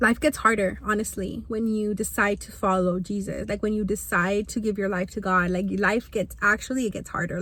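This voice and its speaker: A woman talks at a fairly quick pace with a bright, sharp tone and vocal fry. Her intonation stays fairly even. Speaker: vlogger. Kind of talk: casual chat. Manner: halting.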